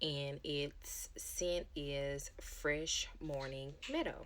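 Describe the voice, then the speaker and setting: A woman whispering. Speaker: product review vlogger. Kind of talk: product review. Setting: at home. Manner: casual, hesitant with ums.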